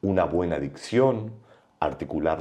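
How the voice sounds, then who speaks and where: At a fairly slow pace, a man talks with lively intonation and vocal fry. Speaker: broadcaster and voice teacher. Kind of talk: podcast interview. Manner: varied intonation.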